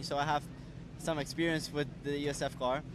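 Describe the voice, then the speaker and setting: Noticeable background noise sits under a man's voice, which has a dry sound with no echo. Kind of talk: interview answer. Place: street. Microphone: handheld.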